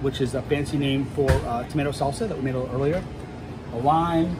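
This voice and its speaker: With ordinary pitch variation and a fairly quick pace, a man talks as noticeable noise runs behind him. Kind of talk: cooking tutorial. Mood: friendly, relaxed. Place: kitchen. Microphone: phone near.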